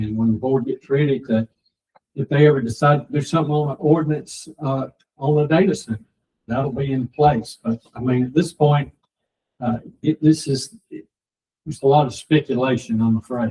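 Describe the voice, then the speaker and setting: With a Georgia accent, a man with a fairly high pitch and a dark, mellow, somewhat breathy tone speaks at a moderate pace with fairly even intonation, in a dry, close sound with no echo. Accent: southern US (Georgia). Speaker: county board chairman. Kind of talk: public meeting discussion. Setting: county commission meeting room. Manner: halting, many fillers.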